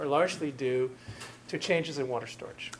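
With a normal speaking voice, a man talks at a moderate pace in a fairly high pitch with fairly even intonation over light background noise. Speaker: university professor. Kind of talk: lecture. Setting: lecture hall with audience. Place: classroom.

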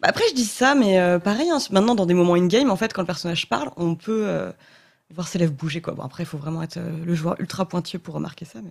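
Somewhat breathy and fairly low-pitched, a woman races along at a very fast pace with lively intonation and big swings in loudness. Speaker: interviewer. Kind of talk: casual interview. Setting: studio.

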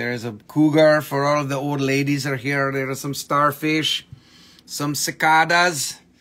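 The speaker is a man. His pace is fairly slow. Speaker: seller on a live stream. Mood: joking, playful. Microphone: phone near.

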